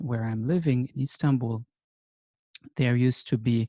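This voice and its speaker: In a German accent, a man with a dark, mellow tone and medium pitch talks with fairly even intonation in a dry, close sound with no echo. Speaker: teacher. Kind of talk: lecture.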